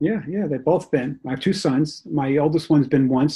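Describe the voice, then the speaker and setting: At a moderate pace, a man with an American accent speaks in a somewhat breathy, dark, mellow tone at a fairly high pitch. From New York, Rockland County. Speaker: novelist. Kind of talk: interview.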